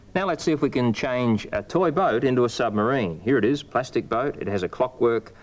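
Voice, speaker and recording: The delivery comes at a moderate pace with lively intonation. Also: man. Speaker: presenter. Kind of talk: tutorial. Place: studio.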